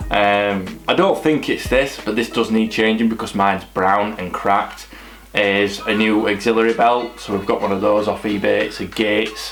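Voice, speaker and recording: A man speaks at a moderate pace with a fairly low pitch and monotone, flat intonation. Noticeable background noise and audible room echo are present. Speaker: car vlogger. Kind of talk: casual vlog.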